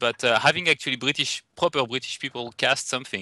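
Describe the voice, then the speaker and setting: In a French accent, the bright, sharp-toned voice moves at a fairly quick pace, with a dry, close sound with no echo over a quiet background. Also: man. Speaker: esports event organizer. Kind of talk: casual podcast chat. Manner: hesitant, many fillers.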